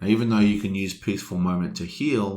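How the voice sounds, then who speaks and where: With an Australian accent, this man's voice sits extremely deep and low. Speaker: board game let's play host. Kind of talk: gameplay commentary.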